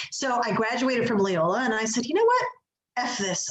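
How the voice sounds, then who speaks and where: Talking at a fairly quick pace, a woman has a Chicago accent. Noticeable background noise and audible room echo surround her. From Chicago, US Midwest. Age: 40s. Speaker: executive coach. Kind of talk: interview.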